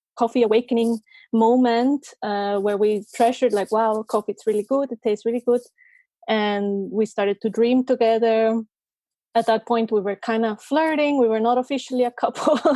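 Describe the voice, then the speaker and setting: A woman speaks in a dark, mellow tone with fairly even intonation. The recording is very clean, dry and close, with no echo and a silent background. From Costa Rica. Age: 20s. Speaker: coffee roaster and photographer. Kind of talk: interview.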